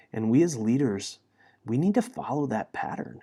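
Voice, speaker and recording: A man speaks at a fairly quick pace, his pitch in the middle range. The recording is very clean, with a silent background. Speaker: podcast host, pastor. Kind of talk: devotional talk. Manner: loud; halting.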